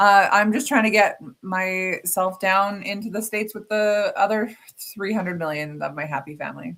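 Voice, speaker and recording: A woman with an unremarkable speaking voice talks at medium pitch and moderate pace, with ordinary pitch variation and big swings in loudness. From Alberta, Canada. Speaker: podcast co-host. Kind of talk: casual chat.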